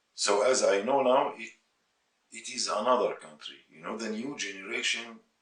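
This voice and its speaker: A man with a Syrian accent speaks at a moderate pace. His loudness swings widely. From Syria, Aleppo. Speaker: musician. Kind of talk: interview testimony. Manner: halting, with repeated words.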